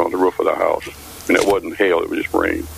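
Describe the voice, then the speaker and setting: Noticeable background noise sits under this recording. A man speaks at a very fast pace. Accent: American. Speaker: caller. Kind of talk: casual chat.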